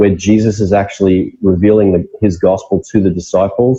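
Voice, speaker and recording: Somewhat breathy and dark, mellow in tone, a man with an Australian accent speaks at a moderate pace. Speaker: pastor. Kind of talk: interview.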